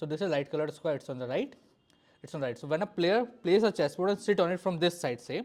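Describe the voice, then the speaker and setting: The speaker has an Indian accent. The background is quiet. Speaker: chess teacher. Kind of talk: lecture. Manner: fast.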